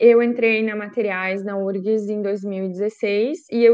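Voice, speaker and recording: A normal speaking voice from a woman at a moderate pace, with fairly even intonation. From Rio Grande do Sul, Brazil (Lajeado). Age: 20s. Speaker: former exchange student. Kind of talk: presentation.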